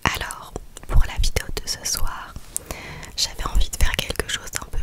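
A soft-spoken woman whispering. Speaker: ASMR creator. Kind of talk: soft whispered ASMR chat, reading would-you-rather questions. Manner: soft close-mic whisper. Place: home room. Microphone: studio mic.

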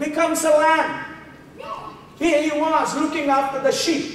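In a room with strong echo, a man speaks slowly at an extremely high pitch with a fairly bright tone.

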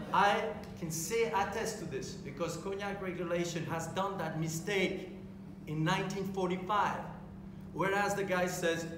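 A man talks at a high pitch. Noticeable background noise and audible room echo surround him. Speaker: panel expert. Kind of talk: panel debate. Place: hall. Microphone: camera far.

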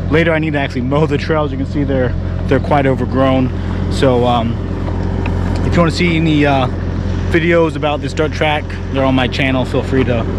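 Noticeable background noise surrounds a man speaking at a fairly quick pace. The sound is dry, with no echo. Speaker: channel host. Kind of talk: casual vlog chat. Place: open country. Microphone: phone near.

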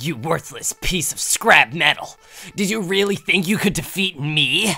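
This is a cartoonish character voice with lively intonation. The pace is moderate. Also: man, high pitch for a man. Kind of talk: dub anime villain impression. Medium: game stream. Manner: sneering, menacing.

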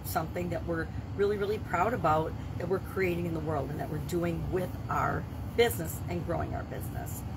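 A woman speaks with noticeable background noise behind her. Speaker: business coach vlogger. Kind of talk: casual vlog chat. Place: home room.

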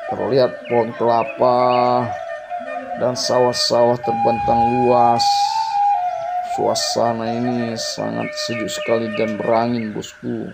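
At a fairly slow pace, the speaker talks over music in the background. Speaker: travel vlogger. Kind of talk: casual vlog commentary. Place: open country. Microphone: phone near.

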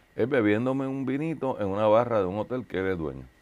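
A man talks at a fairly quick pace. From Puerto Rico. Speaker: talk show host. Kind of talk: sponsor announcement; casual interview. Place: studio.

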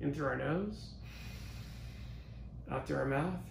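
A man at a fairly slow pace, with light background noise and audible room echo. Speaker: virtual event emcee. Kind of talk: guiding an online group exercise. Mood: calm, encouraging. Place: studio.

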